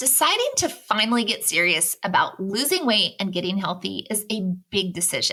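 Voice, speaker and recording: The voice moves at a moderate pace. Its intonation is lively. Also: woman, fairly high pitch for a woman. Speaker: podcast host. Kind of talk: podcast intro.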